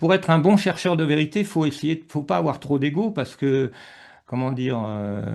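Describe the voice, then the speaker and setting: Against a quiet background, a man with a fairly high voice speaks at a moderate pace with lively intonation. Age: 60s. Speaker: author and researcher. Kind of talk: casual interview chat. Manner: hesitant, many fillers.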